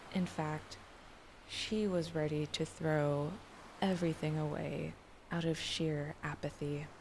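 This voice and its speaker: A soft-spoken woman with a very deep, low pitch, very slow and flat in intonation, very even in loudness, broken by long, frequent pauses. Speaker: streamer. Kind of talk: light novel reading.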